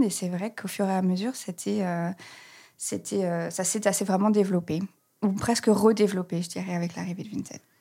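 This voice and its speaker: On a very clean recording with a silent background, a woman with a medium-pitched, dark, mellow voice speaks at a moderate pace with ordinary pitch variation. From France, Reims. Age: 30s. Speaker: communications manager at an online resale company. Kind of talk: podcast interview. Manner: hesitant, many fillers.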